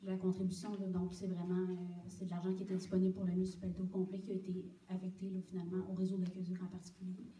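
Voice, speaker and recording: In a Quebec accent, a woman talks very fast in a flat monotone at a medium pitch, with noticeable background noise and audible room echo. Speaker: municipal official answering council questions. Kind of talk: municipal council meeting. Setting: public council meeting with microphone. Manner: hesitant, many fillers.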